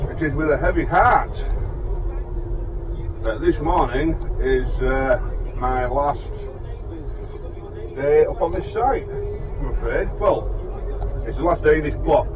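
Over noticeable background noise, the speech comes at a very slow pace with long, frequent pauses. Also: man. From West Yorkshire, England. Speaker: tiler. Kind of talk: casual vlog talk while driving. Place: car.

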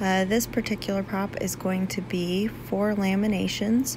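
Noticeable background noise runs through the clip. A woman's voice is heard over it. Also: dry sound with no echo. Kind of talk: tutorial. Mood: relaxed, lightly humorous. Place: workshop.

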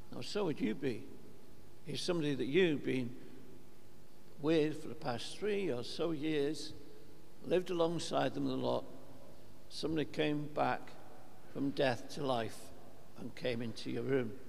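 Light background noise accompanies a man speaking at a fairly slow pace. He leaves long, frequent pauses, and his pitch variation is ordinary. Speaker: priest. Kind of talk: sermon. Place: church.

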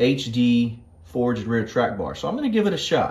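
His pitch varies in an ordinary way as he keeps to a moderate speed. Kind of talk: casual vlog chat. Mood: excited, upbeat. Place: garage.

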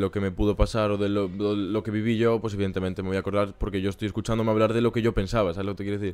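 A man with a fairly low voice rattles along at a very fast pace in a flat monotone. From Galicia, Spain. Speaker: rapper; podcast guest. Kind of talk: casual chat. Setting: home. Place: home room. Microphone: studio mic.

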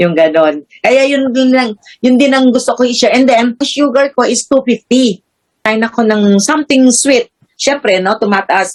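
The sound is dry and close, with no echo. The pace is fairly slow, the loudness very even, and the pitch varies in an ordinary way. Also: woman, high pitch for a woman. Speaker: health product user and seller. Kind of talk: testimony. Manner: halting, full of fillers.

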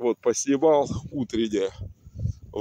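The tone is dark and mellow. The sound is dry with no echo, over light background noise. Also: man. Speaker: video blogger. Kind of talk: casual vlog chat. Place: waterside. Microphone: phone near.

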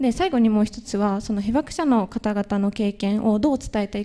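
A woman talks at a fairly quick pace. Her tone is dark and mellow, and her intonation fairly even. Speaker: university student, youth delegate; presenter. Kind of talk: panel presentation. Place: hall.

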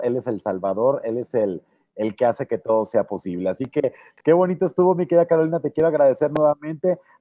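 In a quiet background, a man speaks at a fairly quick pace. His intonation is lively. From Mexico, Tampico, Tamaulipas; Tamaulipas, Mexico. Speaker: youtube interviewer. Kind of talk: interview. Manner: halting, repeats words. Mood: warm, enthusiastic. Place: office. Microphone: earbuds.

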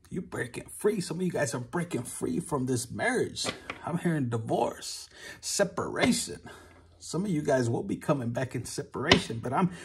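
Lively intonation marks a man's speech at a moderate pace. Noticeable background noise is present. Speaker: tarot reader. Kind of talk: casual tarot reading chat. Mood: warm, animated. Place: home room. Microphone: phone near.

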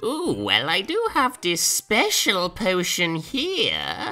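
This female-sounding voice has a fairly high pitch and moves at a very slow pace. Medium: solo performance. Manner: evasive, then irritated.

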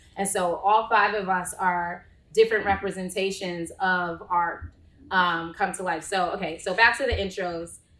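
In a room with audible echo, a woman speaks at a moderate pace in a bright, sharp tone, her medium pitch held in a monotone, flat intonation. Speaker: marketing executive moderating a panel. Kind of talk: panel discussion. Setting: live panel with audience in the room. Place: meeting room. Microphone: camera far.

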